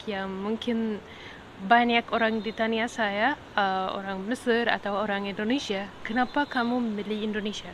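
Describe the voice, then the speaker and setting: Speaking with an Arabic accent, a woman has a fairly high pitch. Her pace is fairly slow. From Egypt. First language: Arabic (speaking Indonesian). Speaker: podcaster. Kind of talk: casual monologue podcast. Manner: hesitant, many fillers.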